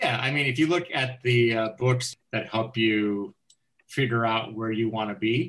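A man with an American accent has a normal speaking voice at a medium pitch. He talks at a fairly slow pace with ordinary pitch variation. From Chicago, US Midwest. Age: 50s. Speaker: lawyer and author. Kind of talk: interview conversation.

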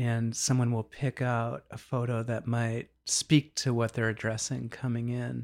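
With an American accent, this man talks at a medium pitch and a fairly slow pace. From US Northeast, Boston area. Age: 50s. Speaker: DJ and psychedelic facilitator. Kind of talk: interview conversation.

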